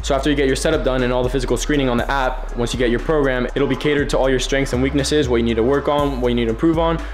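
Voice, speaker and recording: A man speaks at a very fast pace with hardly any pauses. Clear music plays in the background. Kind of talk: sponsored vlog segment. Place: gym. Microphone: phone near.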